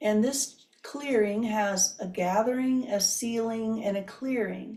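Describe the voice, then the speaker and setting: A woman's fairly high, dark, mellow voice, somewhat breathy, with fairly even intonation and a very slow pace. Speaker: qigong instructor. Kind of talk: guided movement instruction.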